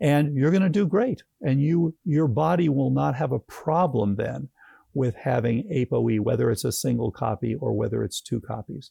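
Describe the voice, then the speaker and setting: A man with a medium, somewhat breathy voice and a dark, mellow tone speaks at a moderate pace with lively intonation, in a dry, close sound with no echo. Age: 70s. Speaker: physician and Alzheimer's researcher. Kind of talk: interview.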